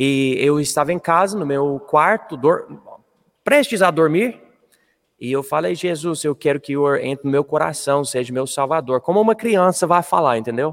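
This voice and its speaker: A man with an English accent speaks at a fairly high pitch with ordinary pitch variation. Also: moderate pace. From Colorado, US. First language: English (speaking Portuguese). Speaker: missionary pastor. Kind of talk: interview testimony.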